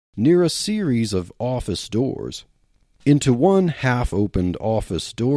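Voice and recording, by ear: Someone is reading aloud. The voice used is a natural one.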